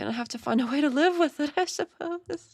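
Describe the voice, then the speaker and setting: A woman speaks at a moderate pace with lively intonation. The sound is dry and close with no echo, and the recording is very clean over a silent background. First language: not English. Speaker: live-stream reaction host. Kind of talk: live reaction commentary. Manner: casual, halting with restarts.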